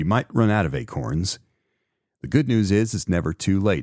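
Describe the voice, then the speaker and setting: A normal speaking voice with lively intonation keeps a moderate speed, the recording very clean and the background silent. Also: man. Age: 50s. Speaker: podcast host. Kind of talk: solo podcast commentary. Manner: casual, conversational with fillers.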